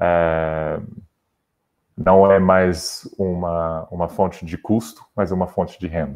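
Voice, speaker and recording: A man's very deep, low voice with a slight non-native accent, very slow and monotone with flat intonation. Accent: slight foreign accent in Portuguese. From Brazil. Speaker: sports federation digital head. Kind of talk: interview. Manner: halting, many repetitions.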